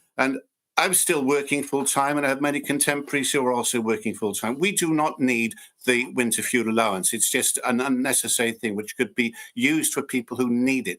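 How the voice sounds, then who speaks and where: Set in a very clean recording with a silent background, this is an ordinary speaking voice moving at a fairly quick pace with ordinary pitch variation. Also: man, medium pitch for a man. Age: 60s. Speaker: local councillor. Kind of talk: council meeting debate.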